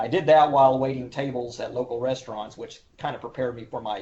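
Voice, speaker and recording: A man talks at a very fast pace in an Oklahoma accent, his voice somewhat breathy. His pitch is medium and his intonation fairly even. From Oklahoma, Oklahoma City. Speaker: historian and cultural resource manager. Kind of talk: interview. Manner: formal.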